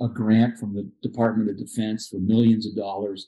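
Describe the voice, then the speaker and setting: A man is speaking. His voice has a dark, mellow tone and monotone, flat intonation. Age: 60s. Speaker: paraplegic climber and adaptive sports instructor. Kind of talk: interview storytelling.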